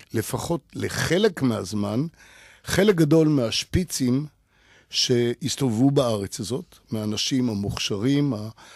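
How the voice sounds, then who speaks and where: Over a quiet background, a man speaks at a very slow pace with lively intonation, the sound dry and free of echo. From Israel, Jerusalem; Israel. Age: 70s. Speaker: photographer and gallery owner; interview guest. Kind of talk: radio interview. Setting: radio studio. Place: studio. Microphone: studio mic.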